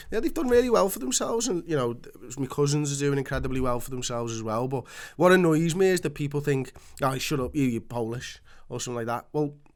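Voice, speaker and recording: A man talks at a very fast pace and fairly high pitch, with lively intonation. The recording is very clean, with a silent background. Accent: Liverpool. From Liverpool, England. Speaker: podcast co-host. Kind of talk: casual chat.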